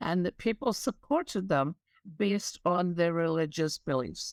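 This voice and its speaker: A woman with a Scottish accent, fairly low in pitch and lively in intonation, on a very clean recording with a silent background and a dry, close sound with no echo. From Scotland. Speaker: diversity and inclusion expert. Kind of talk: interview.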